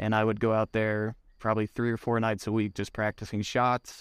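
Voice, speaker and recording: On a very clean recording with a silent background and a dry, close sound with no echo, a man with an American accent speaks at a moderate pace in a fairly low, monotone, flat voice. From US Midwest, southwest Missouri. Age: 30s. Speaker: professional disc golfer. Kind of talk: casual interview. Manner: hesitant, many fillers.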